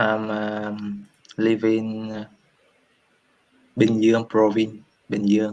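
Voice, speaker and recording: In a Vietnamese accent, a man with a fairly low pitch talks at a very slow pace, monotone and flat, with long, frequent pauses. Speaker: English learner. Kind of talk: casual conversation practice. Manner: halting, many hesitations.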